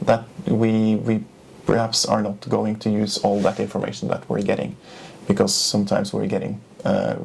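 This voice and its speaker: Over noticeable background noise, a man with a Norwegian accent talks at a moderate pace in a fairly low pitch with fairly even intonation. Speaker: journalist. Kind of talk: interview. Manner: halting.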